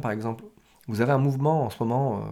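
This man has a dark, mellow tone. His pitch sits at a medium level. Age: 40s. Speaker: business coach. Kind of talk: solo podcast monologue. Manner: hesitant, many fillers.

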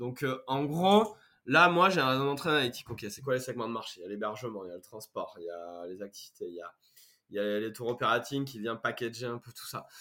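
Talking at a fairly quick pace, a man with a medium-pitched voice shows lively intonation and big swings in loudness. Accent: southern French. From France, Corrèze (Brive-la-Gaillarde). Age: 30s. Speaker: startup founder. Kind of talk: casual interview.

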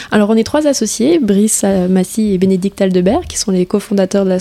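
This woman's voice is medium in pitch, dark and mellow in tone, with ordinary pitch variation. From French Guiana. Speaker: start-up manager in fishing net recycling. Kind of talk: interview.

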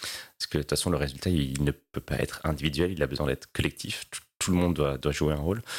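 Speaking very fast with hardly any pauses, a man uses a very deep, low voice with vocal fry and fairly even intonation. The recording is very clean with a silent background. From La Réunion. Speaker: sustainability executive. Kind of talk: interview. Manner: hesitant with many fillers.

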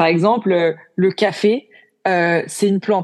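The background stays quiet. A woman talks at a fairly slow speed, her pitch varying in an ordinary way. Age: 20s. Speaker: entrepreneur. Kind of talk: interview. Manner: hesitant, many fillers.

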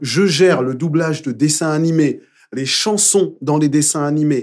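With lively intonation and a normal speaking voice, a man speaks at a fairly high pitch. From Paris, Belleville. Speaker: musical theatre performer and dub actor. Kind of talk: casual interview. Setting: studio.

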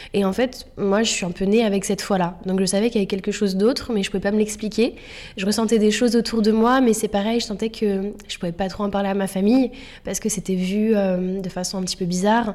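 Very fast and in a flat monotone, a woman talks at a medium pitch. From Paris suburbs, France. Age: 30s. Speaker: spiritual author and yoga teacher. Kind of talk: casual interview. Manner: hesitant, many fillers.

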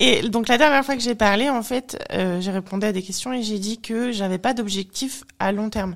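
A woman with a plain, everyday voice, fairly high in pitch, at a moderate pace with ordinary pitch variation. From France. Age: 30s. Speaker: bodybuilding athlete. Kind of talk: casual chat.

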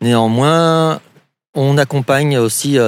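A man speaks with ordinary pitch variation. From southwestern France, Pau area. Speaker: canoe rental owner. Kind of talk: interview. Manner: halting.

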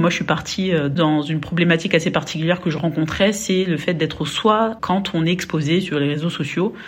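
This woman speaks with fairly even intonation. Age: 30s. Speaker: podcaster. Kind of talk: testimony. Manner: halting.

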